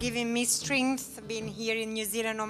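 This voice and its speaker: Over clear music in the background, a woman talks with monotone, flat intonation. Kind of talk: personal testimony and thanks. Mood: emotional, grateful. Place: church. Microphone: handheld.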